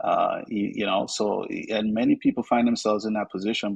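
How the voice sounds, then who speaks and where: A man in a Vincentian accent speaks at a moderate pace, with a dry, close sound that has no echo. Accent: Vincentian Caribbean. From Saint Vincent and the Grenadines. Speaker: financial advisor. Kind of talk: podcast interview. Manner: animated.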